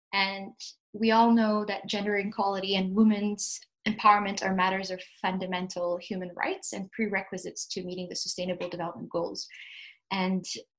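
A woman speaks at a moderate pace in a medium-pitched, somewhat breathy voice with fairly even intonation. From Ethiopia, Addis Ababa. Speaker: development officer and consultant. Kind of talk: interview.

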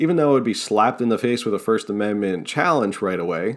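With an American accent, a man speaks in a passionate tone with lively intonation. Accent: New Jersey, comes out when passionate. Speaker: political podcast host. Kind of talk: political commentary monologue. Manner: passionate, sometimes tripping over words.

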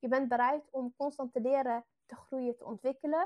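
A woman talks at a moderate pace in a high voice with fairly even intonation. The background is quiet. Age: 20s. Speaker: fitness coach. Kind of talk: webinar.

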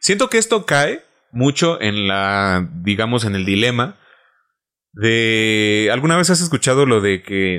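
A man at medium pitch and very slow pace, with ordinary pitch variation. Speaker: podcast host. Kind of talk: casual chat. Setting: studio.

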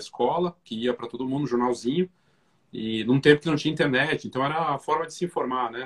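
Speaking at a fairly quick pace with lively intonation, a man with a fairly high pitch sounds somewhat breathy in a dry, close recording with no echo. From Brazil, Curitiba. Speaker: podcast host and photography business educator. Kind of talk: casual interview chat. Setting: Instagram live video call.

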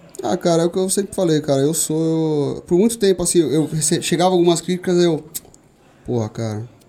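At a fairly quick pace, a man talks with a high pitch and ordinary pitch variation. Noticeable background noise is present. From São Paulo, east zone (Vila Ré). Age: 20s. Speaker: shooting instructor and gun club owner. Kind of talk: casual interview.

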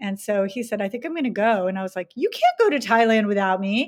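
Here is a woman with a normal speaking voice at a medium pitch. She moves at a fairly quick pace, and the sound is dry and close with no echo. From US, army family, moved often. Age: 50s. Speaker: international teacher. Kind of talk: casual chat.

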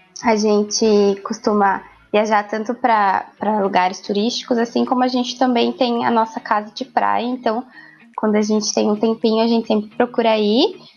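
A woman talks at a moderate pace in a fairly high voice with flat, monotone intonation. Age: 20s. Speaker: pedagogy student. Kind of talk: casual interview. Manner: halting.

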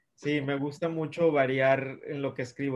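A man speaks at a fairly slow pace in a fairly high voice, his intonation flat and monotone. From Mexico, Monterrey. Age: 30s. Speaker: children's author. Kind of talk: interview. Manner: friendly, casual.

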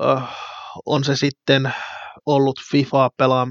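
Very slow and monotone, a man speaks with flat intonation in a dry, close sound with no echo. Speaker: football fan podcaster. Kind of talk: solo podcast monologue.

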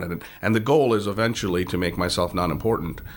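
With an American accent, a man talks at a fairly low pitch and a fairly quick pace, using ordinary pitch variation. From outside the United States. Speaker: business owner. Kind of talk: interview. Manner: hesitant, many fillers.

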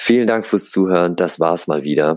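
Recorded in a dry, close sound with no echo, a man speaks at a moderate pace. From Germany, Aschaffenburg (Lower Franconia). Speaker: podcast host, self-development. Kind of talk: solo podcast monologue. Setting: at parents' home.

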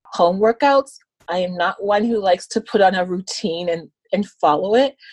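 On a dry, close recording with no echo, a woman with a medium pitch talks at a moderate pace in an ordinary speaking voice. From Canada, Ontario (Scarborough). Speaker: visually impaired guest, social service worker. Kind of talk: interview.

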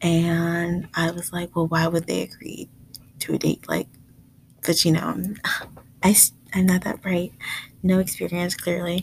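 A woman with an American accent speaks in an animated tone at a fairly low pitch, somewhat breathy. Her pace is fairly slow, with long, frequent pauses. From US, Jamaican American family. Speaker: podcast host, nursing student. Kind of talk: casual monologue. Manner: animated, laughing.

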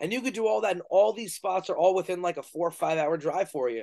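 Against a quiet background, a man talks in a high voice with a New York accent. His intonation is lively and his pace fairly quick. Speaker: professional wrestler and podcast host. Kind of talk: casual interview.

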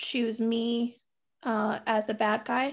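A woman speaks very slowly with an American accent, her pitch fairly high. The recording is very clean, with a silent background. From US South, Tampa, Florida. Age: 30s. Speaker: podcaster. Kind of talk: casual chat.

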